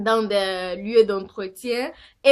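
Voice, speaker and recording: At a very slow pace, a woman with a non-native accent speaks with fairly even intonation in a very clean recording with a silent background. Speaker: vlogger. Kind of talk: casual vlog monologue. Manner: halting, many fillers.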